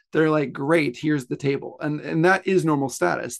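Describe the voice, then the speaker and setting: With an American accent, a man speaks at a fairly high pitch in an unremarkable speaking voice, with ordinary pitch variation and a quiet background. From US South (Pensacola, Florida). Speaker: author. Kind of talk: interview.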